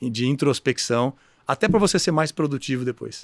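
Against a quiet background and with a dry sound with no echo, the speech moves at a fairly quick pace with ordinary pitch variation. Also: man. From Brazil, Mato Grosso (Cuiabá), raised partly in interior São Paulo; Mato Grosso, Brazil. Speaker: education business executive, board chairman; guest. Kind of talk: interview. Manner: halting, many repeated words. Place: studio. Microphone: studio mic.

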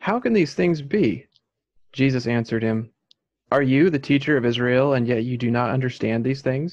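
At a moderate pace and with ordinary pitch variation, a man speaks against a quiet background. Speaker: Bible study participant; Bible study teacher. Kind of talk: reading aloud. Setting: video call. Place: home room. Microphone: video call.

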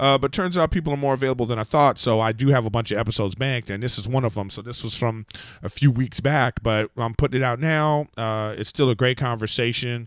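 A man speaks very fast with hardly any pauses and ordinary pitch variation. The sound is dry, with no echo. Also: quiet background. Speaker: podcast host. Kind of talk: podcast intro monologue. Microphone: studio mic.

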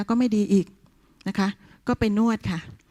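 A woman's somewhat breathy voice has a dark, mellow tone, captured in a very clean recording with a silent background and a dry, close sound with no echo. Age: 60s. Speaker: retired teacher. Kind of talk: testimonial. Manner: halting.

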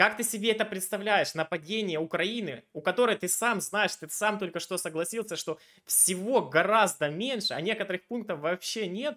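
A man speaks in a raised, projected voice with a bright, sharp tone, high pitch and ordinary pitch variation. His pace is moderate, and the background is quiet. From Ukraine, Dnipro; Ukraine. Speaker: video chat debater and channel host; video chat debater, channel host. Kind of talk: argumentative debate with a stranger. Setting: random video chat. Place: home room. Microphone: headset.

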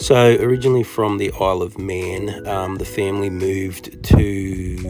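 Against clear music in the background, a man with a fairly low pitch speaks at a moderate pace with ordinary pitch variation. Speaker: toy collecting vlogger. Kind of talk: casual vlog chat. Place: street. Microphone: phone near.

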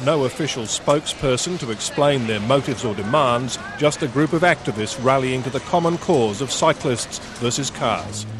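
With an Australian accent, the speaker goes at a moderate pace with hardly any pauses and ordinary pitch variation, in a dry sound with no echo and noticeable background noise. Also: man, medium pitch for a man. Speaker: TV news reporter. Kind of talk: news reporting, live TV report. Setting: outdoors, on location live cross. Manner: formal, brisk, authoritative; clipped broadcast delivery with wry, sarcastic edge.

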